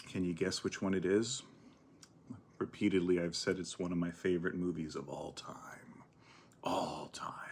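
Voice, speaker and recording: In a relaxed, soft-spoken manner, a man with a very deep, low voice talks at a moderate pace in a monotone, flat delivery, pausing long and often. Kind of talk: ASMR eating and chatting to camera. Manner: soft-spoken, relaxed.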